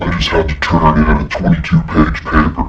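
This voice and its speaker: Someone does a put-on character voice over loud background noise. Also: man. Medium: stage. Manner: tired.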